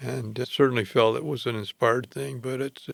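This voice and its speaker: With vocal fry, a man speaks at medium pitch and a moderate pace, using ordinary pitch variation. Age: 80s+. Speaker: retired doctor. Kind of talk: casual chat.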